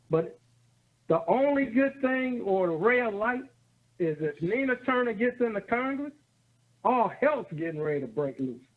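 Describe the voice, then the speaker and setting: With very wide pitch swings and an extremely high pitch, a man speaks at a moderate pace, leaving long, frequent pauses. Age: 60s. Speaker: caller. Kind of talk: phone-in call. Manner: animated.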